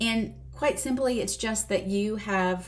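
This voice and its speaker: Music plays in the background as a woman with a Southern US accent talks at a moderate pace, with audible room echo. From US South. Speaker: weight loss doctor. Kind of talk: video lesson. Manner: casual.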